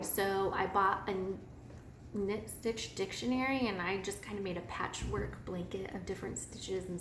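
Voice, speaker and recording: A woman with an American accent speaks at a moderate pace and medium pitch. Noticeable background noise and audible room echo fill the recording. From US Midwest, northwest Missouri. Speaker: knitting podcaster. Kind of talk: casual personal story monologue.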